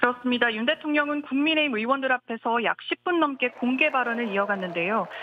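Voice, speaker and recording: Speaking at a fairly quick pace, a woman with a high voice uses lively intonation while noticeable background noise carries on behind her. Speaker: foreign correspondent. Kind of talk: news report.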